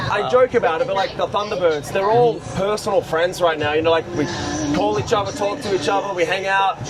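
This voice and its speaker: Over crowd noise, a man with an Australian accent speaks fairly quickly at a high pitch with ordinary pitch variation. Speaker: airshow pilot. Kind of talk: interview.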